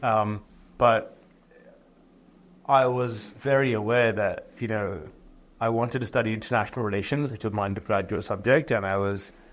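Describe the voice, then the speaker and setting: A man with a British accent, fairly low in pitch, at a fairly quick pace with fairly even intonation. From England. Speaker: entrepreneur and author. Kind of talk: interview.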